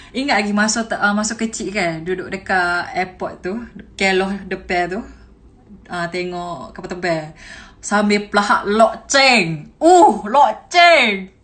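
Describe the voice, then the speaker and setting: Someone with a Kelantan accent speaks at a very slow pace with lively intonation. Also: woman. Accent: Kelantan Malay dialect. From Kelantan, Malaysia. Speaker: TikTok creator. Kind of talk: casual Q&A talk to camera. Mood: cheerful, laughing. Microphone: phone near.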